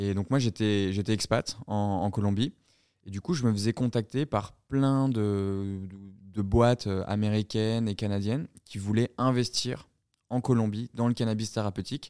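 On a very clean recording with a silent background and a dry, close sound with no echo, a man speaks at a moderate pace in a fairly low pitch with fairly even intonation. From southern France. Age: 20s. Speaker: entrepreneur. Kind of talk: interview. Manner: halting, with many fillers and repetitions.

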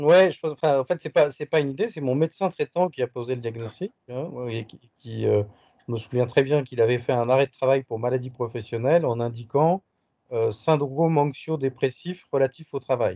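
With a dark, mellow tone at a medium pitch, a man speaks at a moderate pace with ordinary pitch variation and big swings in loudness, in a dry, close sound with no echo. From Paris, France. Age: 40s. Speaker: HR professional, burnout survivor. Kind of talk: interview testimony. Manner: hesitant, many fillers.

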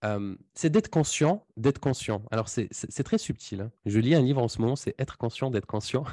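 With hardly any pauses, a man with a dark, mellow tone and medium pitch talks in lively intonation, the sound dry and close with no echo over a quiet background. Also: moderate pace. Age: 20s. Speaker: sales closing coach and entrepreneur. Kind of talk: podcast interview. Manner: hesitant, many fillers and repetitions.

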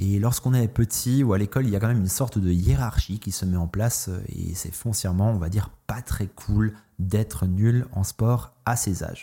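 A man's somewhat breathy, dark, mellow voice, fairly low in pitch with ordinary pitch variation, at a moderate pace with hardly any pauses, in a very clean recording with a silent background. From France. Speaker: cycling podcaster. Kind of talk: solo monologue podcast.

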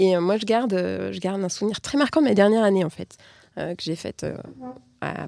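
A woman speaks at a fairly quick pace but leaves long, frequent pauses. Her voice has a dark, mellow tone and a medium pitch with ordinary variation, heard dry and close with no echo. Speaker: in-house corporate lawyer. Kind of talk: interview.

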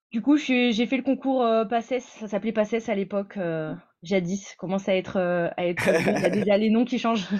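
A woman with a plain, everyday voice talks at a moderate pace, her fairly high pitch moving with ordinary variation. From northern France. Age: 20s. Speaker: PhD student in neuroscience. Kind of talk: interview.

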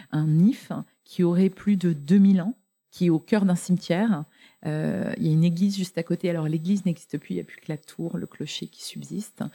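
A woman speaks at a moderate pace with a fairly low pitch and a dark, mellow, somewhat breathy tone. Her intonation is fairly even, and the sound is dry and close with no echo. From Lorraine, France. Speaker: entrepreneur and author. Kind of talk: interview conversation.

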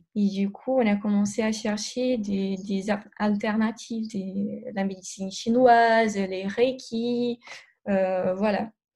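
At a very slow pace, a woman with a Brazilian accent speaks in a dark, mellow, somewhat breathy tone, at medium pitch and with monotone, flat intonation. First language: Portuguese (speaking French). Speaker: alternative therapist. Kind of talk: interview. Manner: hesitant, many fillers.

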